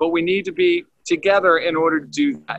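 A man with an American accent, high-pitched, with ordinary pitch variation and a fairly quick pace, dry sound with no echo and a quiet background. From US. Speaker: leadership trainer and former naval officer, Olympic rower. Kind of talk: casual chat. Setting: video call. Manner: animated. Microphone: video call.

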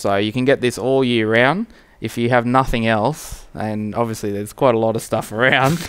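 With a clear, smooth and fairly bright tone, a man talks at a moderate pace, using a medium pitch and fairly even intonation.

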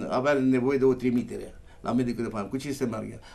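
Medium in pitch, the man's voice has a monotone, flat intonation. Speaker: village mayor. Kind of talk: live TV interview.

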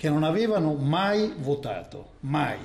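Fairly slow in pace, this voice carries a dark, mellow tone with ordinary pitch variation. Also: man. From Italy. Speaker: journalist. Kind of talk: live news analysis. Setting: video link. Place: studio. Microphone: connection problems; lapel.

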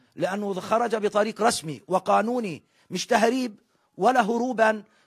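Set against a quiet background with a dry sound and no echo, a man talks at a fairly slow pace with ordinary pitch variation. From West Bank, Palestine. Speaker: brother of a missing detainee. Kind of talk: interview appeal. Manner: formal. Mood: sorrowful, pleading. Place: home room. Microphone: handheld.

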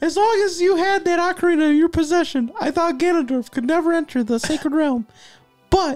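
A man uses a put-on character voice at an extremely high pitch, talking at a fairly quick pace. Faint music plays in the background. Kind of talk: comic dramatic reading of game text. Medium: game stream. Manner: earnest, pleading, a little overwrought.

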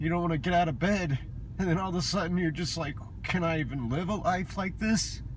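Fairly even intonation from a man at a moderate pace, with light background noise and a dry sound with no echo. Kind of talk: emotional personal vlog confession. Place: car. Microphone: phone near.

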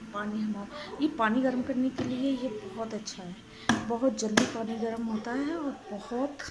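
A woman talks at a fairly slow pace. Loud background noise runs behind her. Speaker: homemaker vlogger. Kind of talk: casual vlog chat.

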